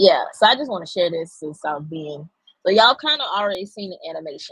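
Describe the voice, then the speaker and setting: A woman with a Southern US accent speaks very fast, her pitch swinging very widely and her loudness rising and falling in big swings. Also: medium pitch for a woman. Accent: country, says y'all a lot. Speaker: AI art content creator. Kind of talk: live stream tutorial. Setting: live stream. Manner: animated.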